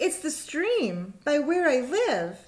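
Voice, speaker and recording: This is a put-on character voice with a high pitch. Its pitch swings very widely. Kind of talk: bedtime story. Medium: read story.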